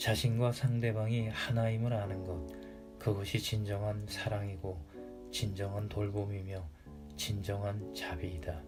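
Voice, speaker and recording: Over music in the background, a man speaks very slowly in a calm, soothing tone, his fairly low voice showing ordinary pitch variation. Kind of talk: audiobook reading.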